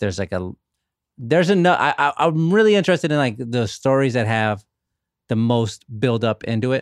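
With lively intonation and a moderate pace, a man in a normal speaking voice talks at a medium pitch, in a very clean recording with a silent background and a dry, close sound with no echo. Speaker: author. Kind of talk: casual chat.

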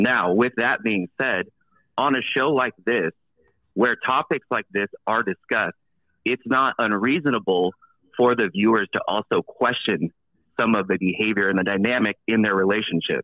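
This man uses a normal speaking voice at medium pitch, with ordinary pitch variation, very even loudness and a moderate pace. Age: 40s. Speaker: caller. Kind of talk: casual chat. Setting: phone call.

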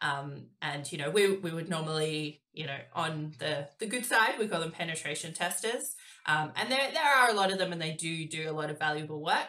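Her intonation is lively, and this woman with an Australian accent has a very deep, low pitch. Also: moderate pace, hardly any pauses. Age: 30s. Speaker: cyber security professional. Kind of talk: casual chat.

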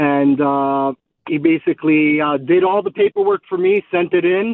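A man speaks at a fairly quick pace. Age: 50s. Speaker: caller. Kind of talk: phone-in question. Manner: halting.

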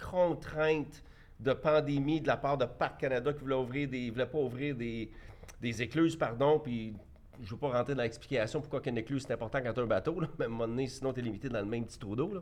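A man speaks in a plain, everyday voice, fairly high in pitch, with ordinary pitch variation. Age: 50s. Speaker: entrepreneur. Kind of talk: debate.

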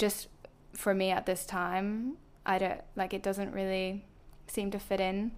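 A woman speaks with a Belfast accent in a monotone with flat intonation, at a fairly slow pace. Her long pauses come often, and the recording is very clean with a silent background. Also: medium pitch for a woman. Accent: Northern Irish, soft Belfast. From Belfast, Northern Ireland. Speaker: YouTuber. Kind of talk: casual chat.

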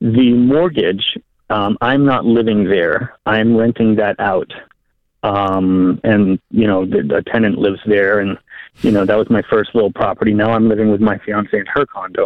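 A man talks at a fairly slow pace in a fairly low pitch, with fairly even intonation, very even loudness and a normal speaking voice. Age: 30s. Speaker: caller. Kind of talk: phone-in advice call.

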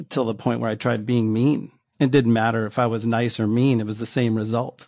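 The recording is very clean, with a silent background. A man with an unremarkable speaking voice talks at a medium pitch and a moderate pace. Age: 50s. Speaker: podcast listener sharing a breakup story. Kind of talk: interview.

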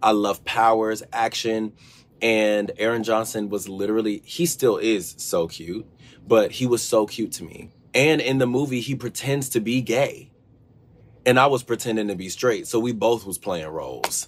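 A man's plain, everyday voice with an American accent at medium pitch, moderate pace and ordinary pitch variation, in a very clean recording with a silent background. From US, Georgia. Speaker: friend of the hosts answering questions. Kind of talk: pre-recorded casual answers.

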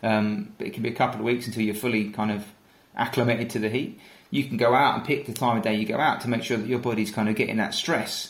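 A man talks at a very fast pace with fairly even intonation and a medium pitch. Room echo is audible. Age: 30s. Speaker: ultra runner and endurance team training manager. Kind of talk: casual interview.

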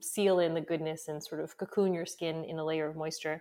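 A woman with a normal speaking voice talks at a moderate pace in a fairly low pitch. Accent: American. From United States. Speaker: skincare company founder. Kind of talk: interview conversation.

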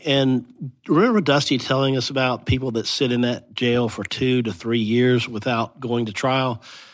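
A man has an unremarkable speaking voice at medium pitch. He talks at a moderate pace with hardly any pauses. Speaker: legal analyst. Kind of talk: interview.

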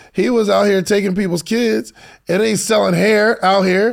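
A man with a high voice, a moderate pace and fairly even intonation. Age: 30s. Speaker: podcast host. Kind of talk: interview.

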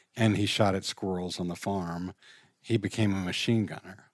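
A man with a plain, everyday voice and an American accent speaks slowly-ish at a fairly low pitch, in a very clean recording with a silent background. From Richmond, Virginia. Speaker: counseling nonprofit founder. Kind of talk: casual interview.

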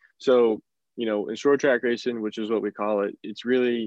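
With an American accent, a man talks at a moderate pace in an unremarkable speaking voice of medium pitch and fairly even intonation. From northern West Virginia. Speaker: stock car racing driver. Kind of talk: interview.

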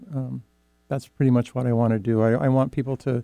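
A man with a Pacific Northwest accent, dark and mellow in tone, at medium pitch with fairly even intonation, in a dry, close sound with no echo. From Oregon Coast Range, rural. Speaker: artist and art teacher. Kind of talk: interview. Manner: halting.

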